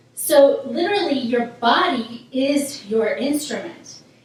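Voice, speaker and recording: Noticeable background noise and an audible room echo behind a female speaker. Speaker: vocal coach. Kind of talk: tutorial.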